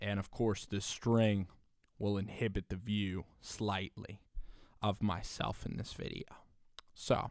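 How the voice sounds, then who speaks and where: A man talks at a very slow pace with a fairly low pitch. His intonation is monotone and flat, with long, frequent pauses. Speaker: sports commentary video creator. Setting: home recording on a laptop. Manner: casual, conversational.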